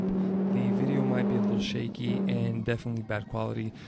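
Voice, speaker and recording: A man's voice over noticeable background noise. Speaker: car enthusiast. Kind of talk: casual car review voiceover.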